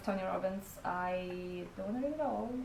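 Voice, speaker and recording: A woman with a non-native accent at a fairly slow pace, amid noticeable background noise and audible room echo. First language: not English. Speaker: book vlogger. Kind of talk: casual vlog talk. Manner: halting, many fillers.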